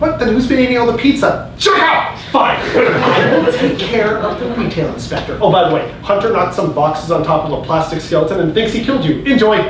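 Over noticeable background noise and audible room echo, a man speaks at a fairly quick pace with hardly any pauses. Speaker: actor in a comedy play. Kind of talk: theatrical stage dialogue. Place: stage. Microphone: camera far.

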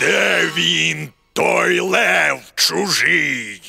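A man performs a cartoonish character voice that is raspy and pitched very deep and low. Light background noise can be heard. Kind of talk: character dialogue. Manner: haughty, then enraged shouting. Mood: angry, menacing.

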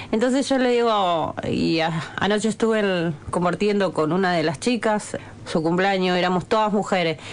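An ordinary speaking voice belongs to this woman, who talks at a moderate pace with ordinary pitch variation and very even loudness. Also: medium pitch for a woman. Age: 40s. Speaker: bricklayer. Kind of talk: radio interview. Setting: radio studio.

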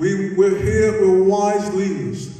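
A man speaks at a very slow pace amid strong room echo. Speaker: preacher. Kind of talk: sermon. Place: church.

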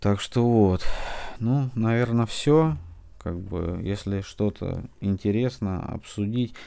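In a very clean recording with a silent background, a man speaks with a fairly low pitch and a dark, mellow tone. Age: 40s. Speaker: book blogger. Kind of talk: casual book review monologue. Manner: halting, many filler words.

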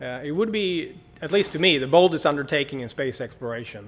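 A man's voice with lively intonation. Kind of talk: lecture. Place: hall.

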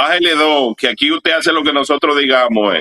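A man's fairly high voice with vocal fry, at a fairly quick pace. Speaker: activist leader. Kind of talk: interview.

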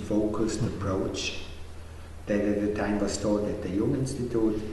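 Light background noise accompanies a man's voice. Room echo is audible. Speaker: co-founder of a psychology training school. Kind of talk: documentary interview. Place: classroom.

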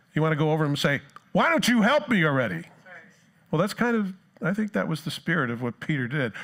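A very fast-talking man with an American accent and lively intonation, over a quiet background. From New Jersey. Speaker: pastor. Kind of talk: sermon. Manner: animated. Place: church.

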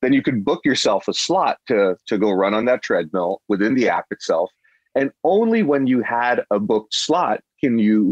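In a normal speaking voice, the speaker uses lively intonation at a moderate pace, with a dry, close sound and no echo. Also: man. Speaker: tech startup CEO. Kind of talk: interview.

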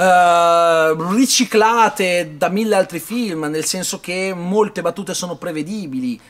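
This man's voice sits high for a man and moves with lively intonation. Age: 30s. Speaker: film reviewer. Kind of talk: video review monologue. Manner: hesitant, with many fillers. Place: hall. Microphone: phone near.

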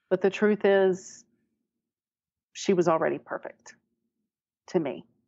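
Using vocal fry, a woman with an American accent speaks at a fairly slow pace with fairly even intonation. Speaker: adoptee sharing her story. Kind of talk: personal interview.

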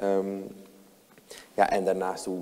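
His pitch is fairly low. The speaker is a man. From Netherlands, Amsterdam Zuidoost; Netherlands. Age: 20s. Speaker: lawyer and city councillor; lawyer, city councillor. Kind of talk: talk show interview. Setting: talk show with audience. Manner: hesitant, many fillers and restarts. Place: hall.

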